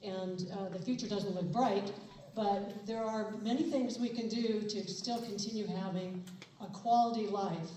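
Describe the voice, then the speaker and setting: Amid noticeable background noise and audible room echo, a woman speaks fairly slowly at a medium pitch with fairly even intonation. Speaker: person with Parkinson's, retired teacher. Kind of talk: testimony speech.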